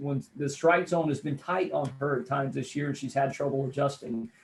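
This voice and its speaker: With a somewhat breathy quality, the man talks at a moderate speed, his intonation staying fairly even. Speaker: radio play-by-play announcer and sports commentator. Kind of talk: sports analysis interview answer.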